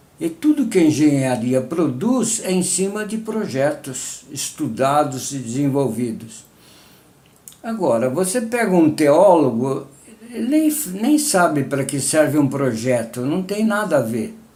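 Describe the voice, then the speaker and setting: Amid audible room echo and noticeable background noise, a man with a fairly high pitch speaks fairly slowly with very wide pitch swings. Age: 80s+. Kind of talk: personal testimony. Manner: halting, with fillers.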